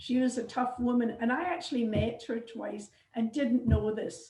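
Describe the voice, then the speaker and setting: A woman with a Scottish accent speaks fairly quickly at a fairly high pitch, with ordinary pitch variation. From Scotland, suburb of Glasgow. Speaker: genealogy society member. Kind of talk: casual chat. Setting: video call. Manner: halting.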